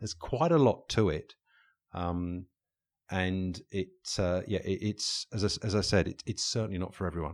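In a very clean recording with a silent background, a man speaks with an English accent at a very deep, low pitch. He keeps a moderate pace with ordinary pitch variation. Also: dry, close sound with no echo. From England. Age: 50s. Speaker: leadership coach and author. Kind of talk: interview conversation. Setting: recording studio. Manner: hesitant, many fillers and repetitions.

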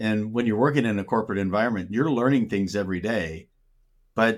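Speaking at a fairly quick pace, a man with an American accent uses an unremarkable speaking voice, fairly low in pitch with ordinary pitch variation. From Minnesota, US Upper Midwest. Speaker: business coach. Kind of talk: interview. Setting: call.

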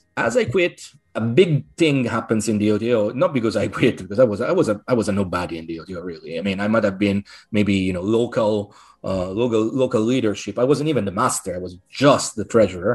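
Man at a fairly quick pace, with a fairly low pitch and ordinary pitch variation. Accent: Italian. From Italy (Rome). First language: Italian. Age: 40s. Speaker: occultist author and order coordinator. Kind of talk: interview. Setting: video call.

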